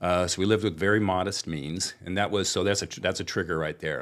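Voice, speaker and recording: A man with a Californian accent speaks at a fairly quick pace, his voice very deep and low with ordinary pitch variation. The recording is very clean, with a silent background. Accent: General American (Californian). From Southern California, Anaheim. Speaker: wealth management business owner. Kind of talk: podcast interview.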